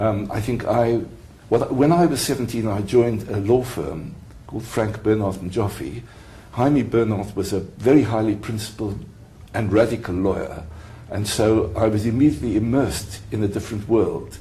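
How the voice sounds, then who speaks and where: With audible room echo, a man talks at a moderate pace in a fairly low pitch with ordinary pitch variation. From South Africa. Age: 70s. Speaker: retired mediator and lawyer. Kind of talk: interview. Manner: halting.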